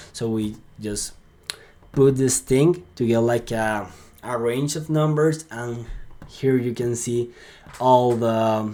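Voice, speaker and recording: This man talks very slowly, leaving long, frequent pauses. His voice is medium in pitch with a dark, mellow tone. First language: Spanish. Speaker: sales lead generation consultant. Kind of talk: screen-share tutorial. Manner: halting, with filler words and repeats; casual and upbeat.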